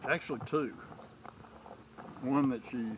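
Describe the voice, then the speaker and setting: A man talks at medium pitch with fairly even intonation. Noticeable background noise runs under his voice. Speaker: cow owner, grandfather. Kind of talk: casual talk to camera.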